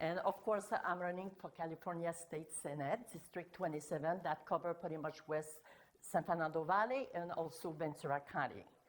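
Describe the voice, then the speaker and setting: Someone with a French Canadian accent speaks at a moderate pace with ordinary pitch variation. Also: woman. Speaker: political candidate. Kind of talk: self-introduction.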